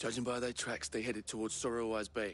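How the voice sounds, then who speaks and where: A man uses a raspy, put-on character voice at medium pitch and a very fast pace. Clear background noise is present. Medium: video game.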